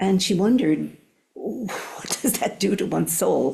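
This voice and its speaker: This woman's voice has a dark, mellow tone with vocal fry. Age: old. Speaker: Zen teacher. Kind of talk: dharma talk. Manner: halting, with many fillers.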